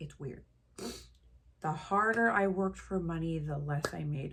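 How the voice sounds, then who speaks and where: A somewhat breathy woman's voice, fairly low in pitch, with ordinary pitch variation. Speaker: lifestyle vlogger. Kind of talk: casual monologue to camera. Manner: slow.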